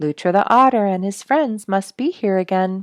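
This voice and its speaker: A put-on character voice, female-sounding and at a middle pitch, speaks at a moderate pace against a quiet background. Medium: read story.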